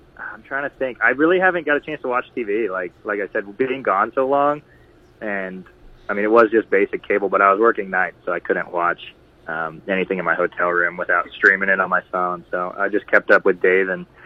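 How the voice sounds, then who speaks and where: A man talks at a fairly quick pace with an American accent. His pitch is fairly low and varies in an ordinary way. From US Midwest, Liberty, Missouri (Kansas City suburb). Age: 20s. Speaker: broadcast camera operator, former college athlete. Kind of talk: interview.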